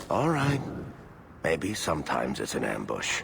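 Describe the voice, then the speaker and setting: Clear background noise runs under the recording. The speaker uses a put-on character voice at a moderate pace. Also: man, very deep, low pitch for a man. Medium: machinima.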